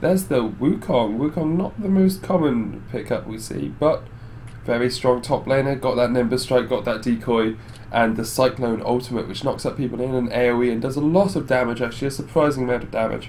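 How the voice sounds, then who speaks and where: Against noticeable background noise, a man talks at a fairly quick pace. His medium pitch shows ordinary variation. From Netherlands. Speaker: esports caster. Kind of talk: live commentary.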